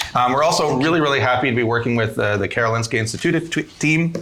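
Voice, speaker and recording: A man's medium-pitched voice with a Canadian accent, very fast and lively in intonation, with audible room echo and noticeable background noise. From Canada. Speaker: podcast host, emergency physician. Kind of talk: live podcast panel chat. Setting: stage with live conference audience.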